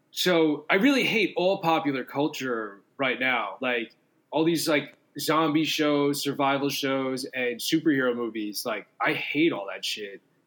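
A man talks at a fairly slow pace in a fairly high pitch. His pitch varies in an ordinary way. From New York City, Staten Island. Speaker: fiction writer and musician. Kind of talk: casual chat.

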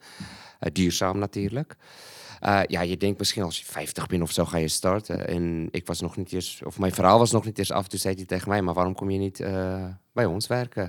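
Very deep and low, a man's voice moves at a moderate pace with fairly even intonation. The recording is very clean, with a silent background. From Malawi, South African parents. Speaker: lecturer and food security project developer. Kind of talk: casual interview. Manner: halting, many fillers and repeats.

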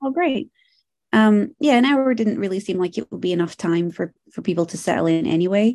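Her voice dark and mellow, a woman speaks at a medium pitch with very wide pitch swings. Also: fairly quick pace. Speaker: body piercer. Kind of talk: casual chat. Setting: video call.

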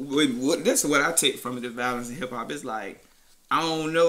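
A man has a normal speaking voice. He speaks at a medium pitch with fairly even intonation. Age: 20s. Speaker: podcast host. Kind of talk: casual chat.

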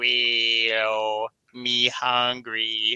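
A man puts on a whiny character voice at a medium pitch. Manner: pained, whiny.

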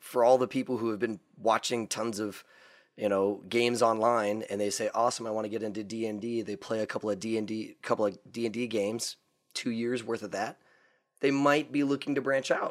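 A man's normal speaking voice at medium pitch, fairly quick pace and fairly even intonation, on a very clean recording with a silent background. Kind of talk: casual chat about gaming.

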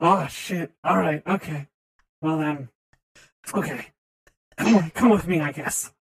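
In a put-on character voice at a middle pitch, the speaker leaves long, frequent pauses. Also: fairly slow pace. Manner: casual, jumpy.

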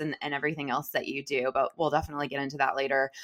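A woman talks at a very fast pace. Her voice is very deep and low, with a bright, sharp tone. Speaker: podcast co-host. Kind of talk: casual chat. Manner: animated.

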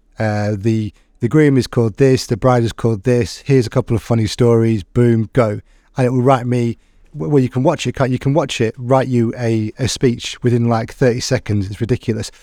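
On a very clean, dry, close recording with no echo and a silent background, a man with an English accent speaks at a medium pitch and moderate pace in a dark, mellow tone with fairly even intonation. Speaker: podcast host and teacher. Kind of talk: casual interview chat.

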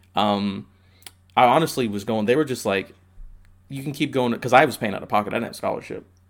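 A man with an American accent talks at a very fast pace, at a medium pitch with ordinary pitch variation. He leaves long, frequent pauses. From Indiana (Indianapolis). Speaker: postal worker. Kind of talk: casual chat.

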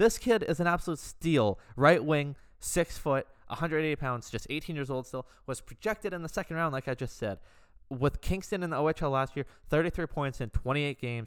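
A man with an ordinary speaking voice talks at a fairly quick pace with fairly high pitch and ordinary pitch variation, on a very clean recording with a silent background. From Canada. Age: 20s. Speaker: sports podcast host. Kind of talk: solo podcast commentary.

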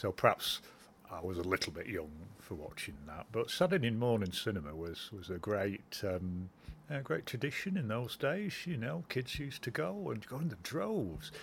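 A man speaks at a moderate pace in a somewhat breathy voice. His pitch is fairly low but makes very wide swings. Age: 50s. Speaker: interviewee, hospital patient. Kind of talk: recorded interview, reminiscence.

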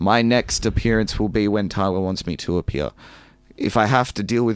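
The speaker has an Australian accent and talks at a fairly quick pace with fairly even intonation. The recording is very clean, with a silent background. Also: man. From Melbourne, Australia (western suburbs). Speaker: professional wrestler. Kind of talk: casual interview.

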